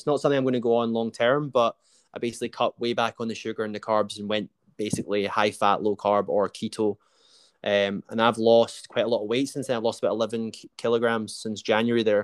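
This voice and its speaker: In a Scottish accent, a man talks very fast at a medium pitch in a flat monotone. The very clean recording is dry and close with no echo and a silent background. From Scotland. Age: 30s. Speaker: podcast host. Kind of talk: casual interview.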